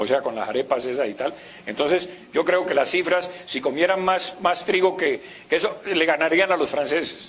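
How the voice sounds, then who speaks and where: A man speaks with a Latin American accent at a moderate pace and a high pitch. Noticeable background noise is present. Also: ordinary pitch variation. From Colombia. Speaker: university professor. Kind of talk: conference lecture. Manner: conversational, hesitant.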